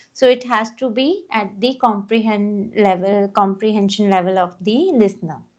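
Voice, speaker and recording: A woman with a non-native accent speaks at a medium pitch with ordinary pitch variation and hardly any pauses. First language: not English. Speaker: English teacher. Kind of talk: casual chat. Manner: slow.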